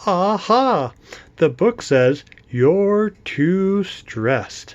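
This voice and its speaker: A squeaky, put-on character voice at a middle pitch and a very slow pace. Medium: read story. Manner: timid, stammering.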